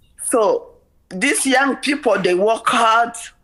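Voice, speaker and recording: The voice carries lively intonation. Noticeable background noise sits behind it. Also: woman. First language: French. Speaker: member of the public presenting to a legislative committee. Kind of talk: public testimony. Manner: halting, with many repetitions and fillers.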